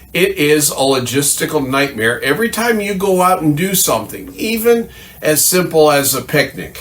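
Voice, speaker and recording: This man has a plain, everyday voice. He talks at a moderate pace with lively intonation. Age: 60s. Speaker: firearms channel host. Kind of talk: scripted monologue.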